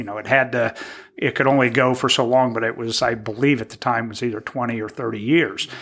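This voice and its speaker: A man speaks at a medium pitch with a Midwestern American accent, his bright, sharp tone carried by fairly even intonation. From Indiana, Terre Haute. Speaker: small business owner and former city councilman. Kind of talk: casual interview.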